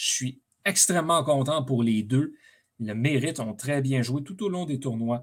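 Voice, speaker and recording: A man speaks with a Quebec accent at a medium pitch and a fairly slow pace. His pitch varies an ordinary amount, and the recording is very clean with a silent background. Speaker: sports podcast host. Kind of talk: solo sports commentary monologue. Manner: hesitant, many fillers.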